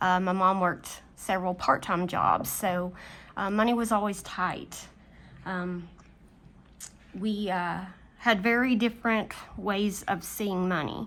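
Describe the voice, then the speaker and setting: A woman's medium-pitched voice with fairly even intonation and long, frequent pauses. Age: 40s. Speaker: budgeting vlogger and middle school teacher. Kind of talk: personal confession vlog. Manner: hesitant, many filler ums.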